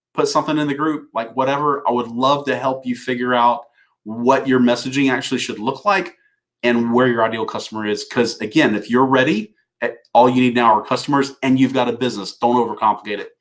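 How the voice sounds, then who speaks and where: A man's medium-pitched voice with a Southern US accent and fairly even intonation, on a very clean recording with a silent background. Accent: Southern drawl. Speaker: business coach. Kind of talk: live stream talk to viewers. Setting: live video broadcast. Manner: halting, many fillers and repeats.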